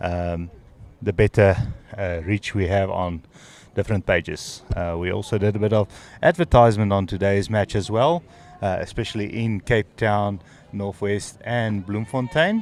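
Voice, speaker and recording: In an Afrikaans accent, a man talks at a moderate pace and a fairly low pitch with ordinary pitch variation, the sound dry and close with no echo. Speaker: sports commentator. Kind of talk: live commentary. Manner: halting.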